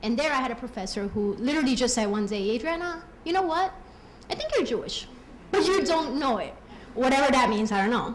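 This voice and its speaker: A woman talks very fast in a high pitch with a Colombian accent, her pitch swinging very widely. Noticeable background noise and audible room echo fill the recording. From Colombia, raised in US. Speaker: program alumna giving tribute. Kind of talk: personal testimony speech.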